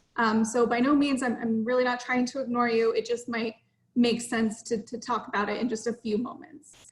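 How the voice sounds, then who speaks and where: Her pitch high and her intonation monotone and flat, a woman speaks at a moderate pace. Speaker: mental health services manager. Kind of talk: online presentation.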